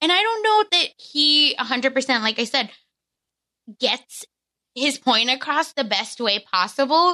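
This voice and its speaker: A woman uses a raised, projected, high-pitched voice with a bright, sharp tone, very even loudness and very wide pitch swings. She speaks at a very slow pace with long, frequent pauses. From India, moved to US. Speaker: guest, former reality TV cast member. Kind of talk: casual chat.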